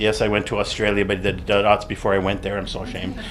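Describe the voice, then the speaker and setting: A man speaks in a fairly low pitch with a Canadian accent. Noticeable background noise and audible room echo surround him. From Canadian prairies (Alberta). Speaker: artist and art critic. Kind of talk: conference talk; reading a paper aloud. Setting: seminar room with audience. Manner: fast.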